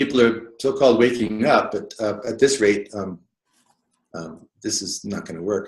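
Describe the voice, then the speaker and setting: A man of medium pitch speaks at a moderate pace with ordinary pitch variation and big swings in loudness. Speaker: alternative media writer. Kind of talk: personal interview conversation. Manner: mumbling; halting, hesitant. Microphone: too quiet, sitting too far from mic.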